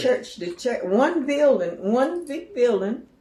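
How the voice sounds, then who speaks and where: Over noticeable background noise, a woman speaks at a high pitch with very wide pitch swings. She has an American accent and a fairly slow pace. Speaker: cosmetologist and author. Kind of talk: interview answer. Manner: halting, conversational.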